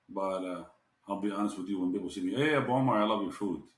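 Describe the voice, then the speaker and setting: Speaking at a fairly quick pace, a man with an Arabic accent has a fairly low pitch. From Jordan. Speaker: restaurant owner. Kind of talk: podcast interview.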